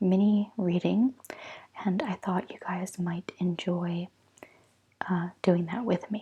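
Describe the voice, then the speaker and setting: Soft-spoken, a woman talks at medium pitch with fairly even intonation. Her pace is very slow. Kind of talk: ASMR tarot reading.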